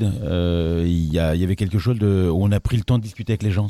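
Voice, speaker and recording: Fairly low in pitch with ordinary variation, this man has an ordinary speaking voice. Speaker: playwright and theatre director. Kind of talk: casual chat.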